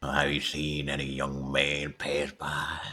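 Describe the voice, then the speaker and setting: Using a put-on character voice, a man speaks at a fairly slow pace in a very deep, low pitch with monotone, flat intonation. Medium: game stream. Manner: cagey, playful.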